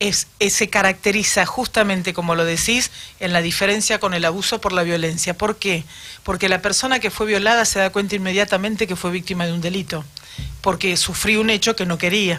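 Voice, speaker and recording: Against noticeable background noise, a woman talks at a fairly quick pace, at medium pitch, with fairly even intonation. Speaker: city councillor. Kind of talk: radio interview. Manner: formal.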